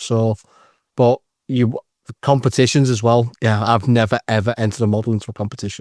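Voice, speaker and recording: In a strong British accent, a man with a medium-pitched voice talks very fast with monotone, flat intonation, the sound dry and close with no echo on a very clean recording with a silent background. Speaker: scale modelling podcaster. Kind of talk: casual chat.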